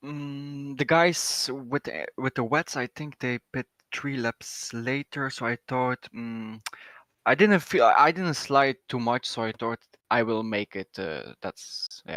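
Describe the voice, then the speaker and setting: Very slow and bright, sharp in tone, a man speaks with a non-native accent in a dry, close sound with no echo, on a very clean recording with a silent background. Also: medium pitch for a man, ordinary pitch variation. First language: not English. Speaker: sim racing driver. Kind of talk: post-race interview. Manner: halting.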